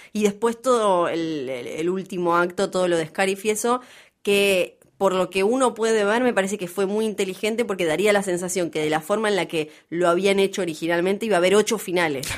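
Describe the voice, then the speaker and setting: A woman speaks at a fairly quick pace with a Rioplatense accent. Her pitch is medium, with ordinary variation. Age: 30s. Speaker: podcast co-host. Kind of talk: casual chat.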